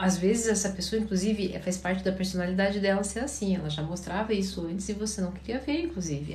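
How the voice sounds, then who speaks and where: There is noticeable noise in the background. The words come at a fairly quick clip. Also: woman. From Paraná, Brazil.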